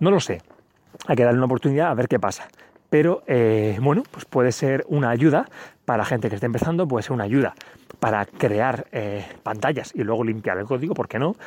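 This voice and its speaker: Delivered at a fairly quick pace, an ordinary speaking voice shows ordinary pitch variation. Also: man, medium pitch for a man. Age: 30s. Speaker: podcast host. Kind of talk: solo tech podcast monologue. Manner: casual, with many fillers.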